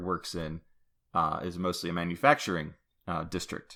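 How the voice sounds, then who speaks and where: Very deep and low, a man's bright, sharp voice moves at a fairly slow pace. The recording is very clean, the background silent. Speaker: podcast co-host. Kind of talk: casual podcast discussion. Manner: loud.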